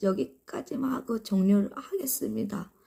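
At a fairly slow pace, a woman speaks in a somewhat breathy, dark and mellow voice of medium pitch. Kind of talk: casual live stream talk to viewers.

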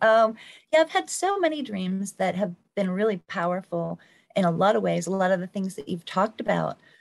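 A woman with an American accent speaks against a quiet background. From US Northeast (Pennsylvania). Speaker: former museum worker, dream enthusiast; podcast panelist. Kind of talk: casual panel conversation. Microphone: video call.

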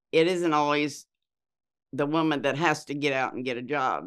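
A woman speaks at a fairly slow pace with a Midwestern American accent. The background is quiet. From US Midwest, Iowa. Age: 70s. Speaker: interviewee. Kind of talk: life story interview; interview answer. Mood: reflective, calm. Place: studio.

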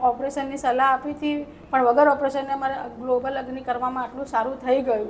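Noticeable background noise sits behind a woman whose high-pitched voice stays monotone and flat. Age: 40s. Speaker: patient. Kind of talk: testimony.

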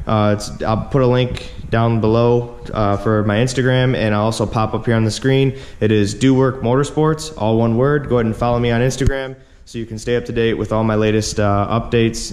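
Fairly even intonation marks this man's speech, which moves at a fairly quick pace. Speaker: truck owner reviewing vehicle. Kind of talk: casual vlog review. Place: garage. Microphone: phone near.

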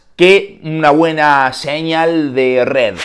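Quiet surroundings and a male speaker. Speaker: tech reviewer. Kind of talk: casual vlog chat. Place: home room. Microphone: lapel.

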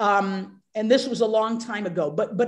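A woman with an American accent speaks at a fairly high pitch and a moderate pace. Her intonation stays fairly even against a quiet background. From United States. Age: 60s. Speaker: professor and journalist. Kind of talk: personal testimony. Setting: video call. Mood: earnest, emotional personal story. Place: home room.

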